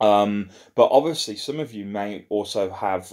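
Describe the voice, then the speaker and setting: Against a quiet background, a plain, everyday voice moves at a moderate pace. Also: man. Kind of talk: casual vlog chat. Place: home room. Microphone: phone near.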